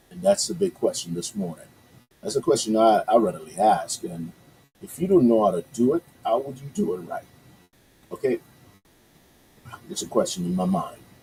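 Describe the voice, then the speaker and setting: A man with a Yoruba accent, long, frequent pauses and big swings in loudness. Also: moderate pace. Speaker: radio host. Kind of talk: casual radio talk with news commentary. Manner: hesitant, many fillers.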